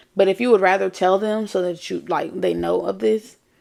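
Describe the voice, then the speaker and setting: She moves along at a moderate pace. The voice is a woman's. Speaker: podcast host. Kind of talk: casual chat.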